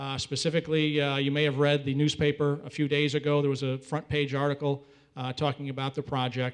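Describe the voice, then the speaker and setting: A fairly quick, fairly high-pitched male voice. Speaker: property developer. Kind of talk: public hearing presentation. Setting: town board meeting hall. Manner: fast.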